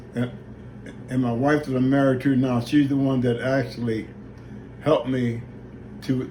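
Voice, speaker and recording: Amid audible room echo, a man speaks with flat, monotone intonation. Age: old. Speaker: retired boxer and father. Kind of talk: family video message. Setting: video recorded by daughter holding camera. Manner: halting.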